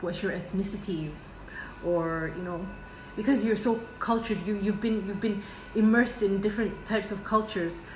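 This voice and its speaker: A woman's medium-pitched voice with a slight Scottish accent, moderate pace and fairly even intonation, with noticeable background noise and audible room echo. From Scotland. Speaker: tarot reader. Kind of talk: tarot reading monologue. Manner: halting, many fillers and restarts.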